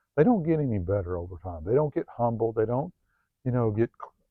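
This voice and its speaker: A man at medium pitch, talking at a moderate pace. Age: 50s. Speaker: self-help video host. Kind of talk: personal monologue vlog. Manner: halting, many fillers.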